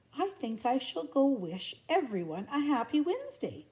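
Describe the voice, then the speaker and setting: A woman does a put-on character voice, high in pitch and full of very wide pitch swings. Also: moderate pace. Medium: read story. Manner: slow, gentle.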